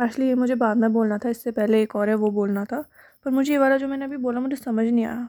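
Soft-spoken delivery with fairly even intonation, on a very clean recording with a silent background. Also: woman, high pitch for a woman. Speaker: podcaster. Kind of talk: audio diary. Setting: at home at night.

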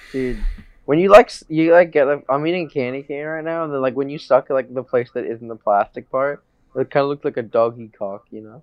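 Using a plain, everyday voice, a man with an American accent speaks at a fairly high pitch and a fairly quick pace with ordinary pitch variation. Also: big swings in loudness. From United States. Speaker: guest. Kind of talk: casual chat.

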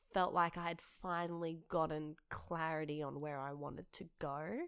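A woman speaks in an Australian accent. Her pitch is fairly low and her pace fairly slow. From Western Sydney, Australia. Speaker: theatre maker and director. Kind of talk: casual interview.

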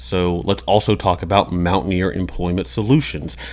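A man talks at a fairly quick pace with vocal fry. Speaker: podcast co-host. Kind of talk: casual podcast interview.

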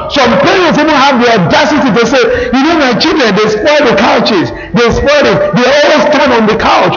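An animated man with an extremely high pitch, lively intonation and a moderate pace, over noticeable background noise. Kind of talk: sermon. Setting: church with congregation. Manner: animated, insistent preacher repeatedly checking the congregation is following; call-and-response, exhorting the audience for amens.

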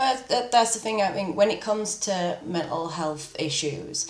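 Her delivery is fairly slow. This woman talks in a British accent. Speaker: podcast host. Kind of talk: casual interview chat.

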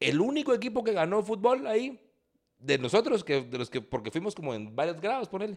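A man with a Guatemalan accent, animated in tone, his pitch swinging very widely at a fairly quick pace. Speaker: podcast co-host. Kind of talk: casual chat.

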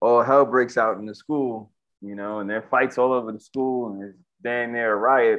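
A man with medium pitch speaks at a moderate pace with fairly even intonation in an ordinary speaking voice. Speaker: martial arts teacher for kids. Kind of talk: casual chat. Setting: conference call.

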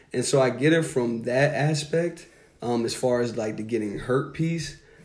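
Recorded with audible room echo, a man talks at a moderate pace in a medium pitch with fairly even intonation. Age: 30s. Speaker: basketball podcast co-host. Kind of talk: casual chat. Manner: casual, filler-heavy.

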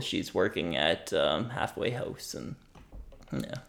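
A man speaks with a Nova Scotian accent. His pace is fairly slow. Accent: rural Nova Scotian English. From Nova Scotia, Annapolis Valley. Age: 20s. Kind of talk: casual interview. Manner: halting, repeats words.

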